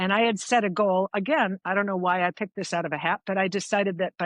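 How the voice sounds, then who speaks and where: A woman with an American accent and a plain, everyday voice, medium in pitch, speaks at a fairly quick pace in a dry, close recording with no echo and a quiet background. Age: 60s. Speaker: long-distance hiker. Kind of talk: casual interview chat. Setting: remote call.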